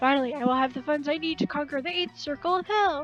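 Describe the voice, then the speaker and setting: A woman puts on a gravelly character voice, high-pitched and very fast, with clear music playing behind her. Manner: menacing, grand.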